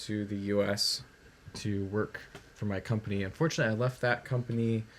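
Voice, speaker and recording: A man's voice over noticeable background noise. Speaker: programmer streaming game development. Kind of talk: live coding stream. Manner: hesitant, many fillers.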